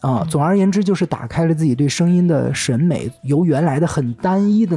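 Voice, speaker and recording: With music in the background, a man speaks in a breathy, fairly high voice with lively intonation. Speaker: podcast host. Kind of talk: casual chat. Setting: studio.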